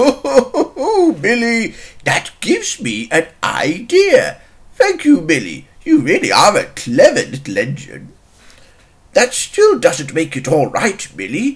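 At a fairly slow pace, the speaker delivers lines in a put-on character voice. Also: man.

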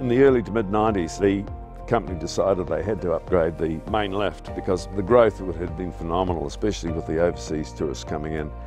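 Over clear music in the background, a man talks at a fairly quick pace in a dry sound with no echo. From New Zealand. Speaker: former ski instructor and tourism manager. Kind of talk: reminiscing interview answer. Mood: warm, nostalgic, good-humoured. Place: garden.

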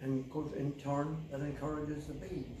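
A man with a dark, mellow tone and fairly high pitch speaks at a moderate pace with little pitch movement, with audible room echo around him.

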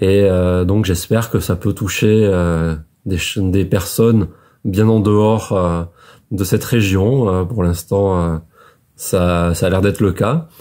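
A man with a very deep, low, dark and mellow voice speaks at a very slow pace against a quiet background. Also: fairly even intonation, very even loudness. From France, Médoc (Gironde, southwest); Gironde, France. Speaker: author. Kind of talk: book presentation monologue. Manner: hesitant, many filler sounds. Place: home room. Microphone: phone near.

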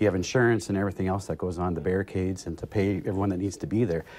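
A man with a dark, mellow tone and a fairly low pitch talks at a very fast pace. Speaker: guest. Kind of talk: interview answer. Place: studio. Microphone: lapel.

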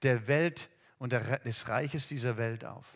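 A man is talking. Nothing much can be heard behind him, as the background is quiet. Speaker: preacher. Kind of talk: sermon. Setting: empty hall, recorded video. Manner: warm, direct address to the listener. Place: church. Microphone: headset.

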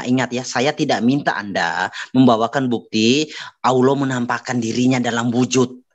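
The background is quiet as a man speaks at a moderate pace. His intonation is fairly even. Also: hardly any pauses. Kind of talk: religious debate. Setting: video call. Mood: assertive, argumentative. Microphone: video call.

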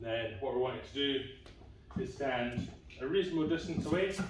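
A man talks at a moderate pace. The room echo is audible, and there is light background noise. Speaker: fitness coach. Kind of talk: tutorial. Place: gym.

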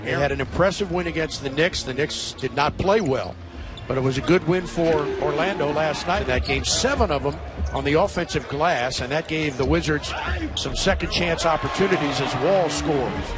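A man at a fairly high pitch and moderate pace, dry with no echo, against loud background noise. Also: ordinary pitch variation. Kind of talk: live sports commentary. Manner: excitable, punchy exclamations. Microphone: headset.

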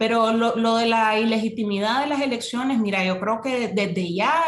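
With audible room echo around her, a woman speaks at a moderate pace with ordinary pitch variation. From Nicaragua. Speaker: social movement activist; guest. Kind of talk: interview, political analysis. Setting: remote call. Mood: serious, critical. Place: home room. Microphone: video call.

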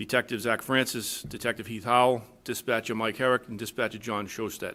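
A man at a medium pitch talks fairly quickly in a bright, sharp tone with monotone, flat intonation. The recording is very clean, the background silent. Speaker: police chief. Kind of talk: formal award presentation at public meeting. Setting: town board meeting with full audience. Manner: fast.

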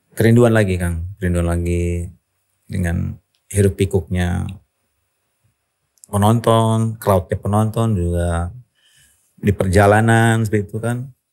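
Against a quiet background, a man speaks fairly slowly in a fairly low pitch with fairly even intonation. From Indonesia. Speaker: rock singer; podcast guest. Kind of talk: interview answer. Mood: relaxed, reflective. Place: studio. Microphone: studio mic.

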